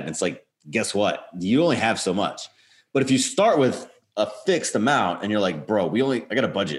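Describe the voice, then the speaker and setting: His pitch is medium but swings very widely as this man talks against a quiet background. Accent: American. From northern US. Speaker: podcast co-host. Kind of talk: interview.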